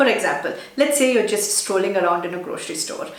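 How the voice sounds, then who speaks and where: Amid noticeable background noise and audible room echo, a woman with a Telugu accent and a fairly high pitch talks at a very fast pace with ordinary pitch variation. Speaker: digital marketing YouTuber. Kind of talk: tutorial.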